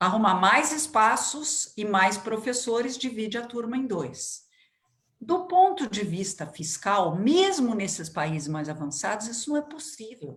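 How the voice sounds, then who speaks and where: The voice is somewhat breathy and its pitch swings very widely. Room echo is audible. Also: woman. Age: 60s. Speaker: education expert. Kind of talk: interview.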